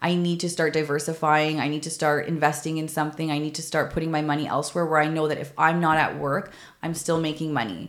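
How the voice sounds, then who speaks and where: A woman with a Canadian accent, fairly low-pitched, talking at a very fast pace amid audible room echo. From Canada, Toronto. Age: 30s. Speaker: podcast host, former mental health nurse. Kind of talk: personal storytelling monologue.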